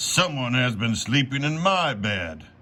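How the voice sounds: Using a put-on character voice, a man talks at medium pitch. The pace is fairly slow.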